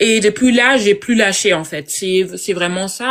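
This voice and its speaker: A woman speaks at a very slow pace with a medium pitch and ordinary pitch variation. Noticeable background noise sits behind her voice. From Germany, Congolese family. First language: German and Lingala (speaking French). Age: 20s. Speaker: IT consultant. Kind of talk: live interview. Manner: halting, many fillers.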